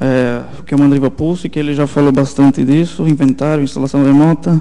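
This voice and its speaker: With noticeable background noise around him, a man speaks with fairly even intonation. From southern Brazil, Santa Catarina (German-settled town). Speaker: software engineer presenter. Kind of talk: technical conference talk. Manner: halting, many fillers.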